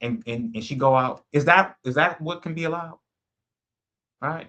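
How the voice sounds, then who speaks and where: A man speaks in an ordinary speaking voice, pitched fairly high. His pace is moderate. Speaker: bible teacher. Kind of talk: bible study livestream. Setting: livestream on YouTube and Clubhouse.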